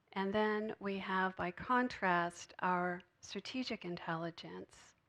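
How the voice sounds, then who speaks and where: The speaker is a woman. Her voice is soft-spoken. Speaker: spiritual speaker. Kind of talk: sermon.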